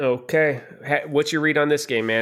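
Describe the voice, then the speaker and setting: On a very clean recording with a silent background, a man uses an ordinary speaking voice with fairly even intonation at a fairly quick pace. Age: 30s. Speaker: sports podcast host. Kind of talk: casual chat.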